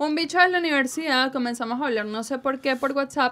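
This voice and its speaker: A woman with a Caracas Venezuelan accent, very fast pace and lively intonation. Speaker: digital security trainer and radio announcer. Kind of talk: casual chat. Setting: studio.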